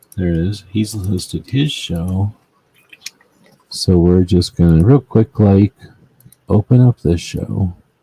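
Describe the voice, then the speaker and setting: Mumbling at a very slow pace with long, frequent pauses, a man talks in a fairly low pitch, the sound dry and close with no echo. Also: ordinary pitch variation. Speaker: gun rights show host. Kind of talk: casual livestream chat.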